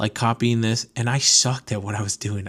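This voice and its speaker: On a very clean recording with a silent background, a man speaks with an ordinary speaking voice at medium pitch, a fairly quick pace and fairly even intonation. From Connecticut, US (from age 7, born in Venezuela). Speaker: podcast host, car import business owner. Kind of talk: casual monologue. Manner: casual, many fillers.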